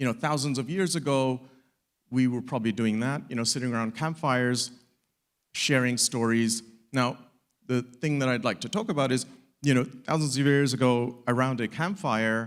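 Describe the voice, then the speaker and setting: Here a man talks at a moderate pace and medium pitch, with ordinary pitch variation and long, frequent pauses. It is a very clean recording with a silent background. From mixed; UK and Africa, Middle East, Asia. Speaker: startup community founder. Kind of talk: conference talk. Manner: casual, with fillers and repetitions.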